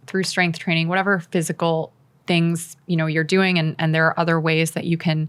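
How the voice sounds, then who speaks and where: A woman's fairly low-pitched, fairly even voice, an ordinary speaking voice, in a very clean recording with a silent background. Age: 40s. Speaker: wellness entrepreneur, former press secretary. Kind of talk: casual interview chat. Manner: casual, filler-heavy (like, you know).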